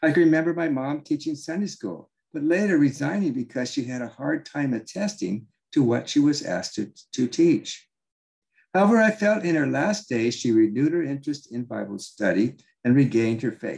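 Pitch swings very widely in an American accent. The pace is fairly quick. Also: man, fairly high pitch for a man. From Southern California (Orange County). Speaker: Bible teacher and author. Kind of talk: reading aloud from own book.

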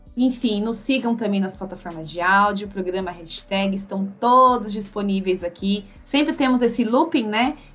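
Noticeable background noise sits behind a woman with a fairly high pitch. She keeps a moderate pace and ordinary pitch variation. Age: 30s. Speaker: podcast co-host. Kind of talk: casual news chat.

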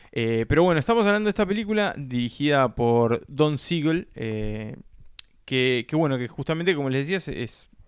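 Against a very clean recording with a silent background, a man with a fairly high pitch and an unremarkable speaking voice talks at a moderate pace with lively intonation. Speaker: film podcast host. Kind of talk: casual chat.

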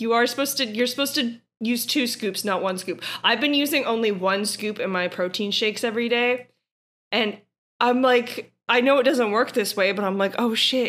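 With an American accent and ordinary pitch variation, the voice comes through on a very clean recording with a silent background. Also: woman. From New Orleans, US South. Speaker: guest co-commentator. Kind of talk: casual comedic chat and reading aloud.

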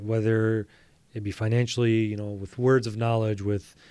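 The speaker is a man with an American accent. His tone is dark and mellow, his pace moderate. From Metro Detroit, Michigan. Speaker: podiatrist. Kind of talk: interview.

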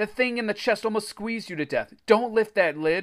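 In a very clean recording with a silent background, a man speaks in an animated, dramatic tone. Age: 30s. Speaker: podcast host. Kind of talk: bedtime or ghost story reading aloud, told in character voices. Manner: animated, dramatic, suspenseful storytelling delivery; casual, chatty, self-correcting.

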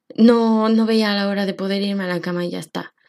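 Using a fairly high pitch and fairly even intonation, a woman talks at a fairly slow pace. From Mexico. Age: 20s. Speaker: podcast host and social worker. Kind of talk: personal monologue podcast.

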